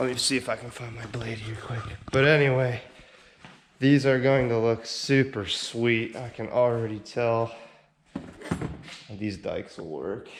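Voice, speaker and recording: A man speaks at a medium pitch and a fairly slow pace, with long, frequent pauses, fairly even intonation and big swings in loudness. Audible room echo and noticeable background noise surround him. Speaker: car enthusiast vlogger. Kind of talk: casual unboxing vlog.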